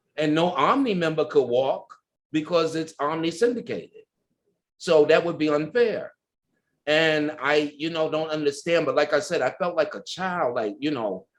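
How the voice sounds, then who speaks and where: With an American accent, this voice moves at a moderate pace using ordinary pitch variation. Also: man, fairly high pitch for a man. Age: 60s. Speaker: ballroom culture pioneer. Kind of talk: interview. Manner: animated.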